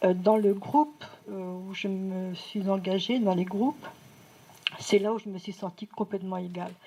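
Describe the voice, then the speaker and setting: This woman speaks at a fairly slow pace with a medium pitch and fairly even intonation. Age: 60s. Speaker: audience member, retired medical secretary. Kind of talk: audience contribution in public discussion. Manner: halting.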